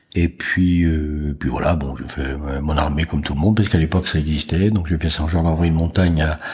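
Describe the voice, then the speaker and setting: A man with a very deep, low pitch at a fairly quick pace, fairly even intonation and hardly any pauses, noticeable background noise around him. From France, Jura. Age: 60s. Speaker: business executive. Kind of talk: interview. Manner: hesitant, many fillers.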